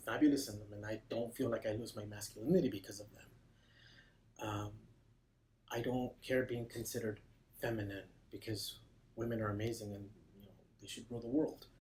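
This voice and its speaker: A somewhat breathy man's voice at medium pitch, fairly quick yet broken by long, frequent pauses, with fairly even intonation and big swings in loudness. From Mexico. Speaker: counseling client. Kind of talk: testimony.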